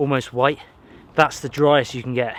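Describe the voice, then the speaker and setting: A man with a Somerset accent talks at a fairly quick pace. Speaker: bushcraft and camping vlogger. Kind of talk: solo outdoor vlog narration. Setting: outdoors in a forest. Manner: casual, conversational.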